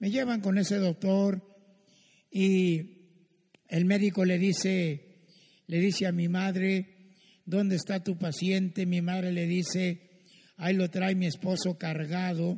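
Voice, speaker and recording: A man's high-pitched voice, dark and mellow in tone, at a very slow pace with long, frequent pauses, monotone, flat intonation and very even loudness, over a quiet background. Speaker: pastor. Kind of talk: testimony.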